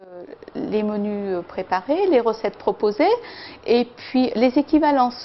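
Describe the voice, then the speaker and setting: Noticeable background noise runs under a woman's voice. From France, Lyon region. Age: 60s. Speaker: weight-loss program participant. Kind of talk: testimony. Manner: hesitant, many filler sounds.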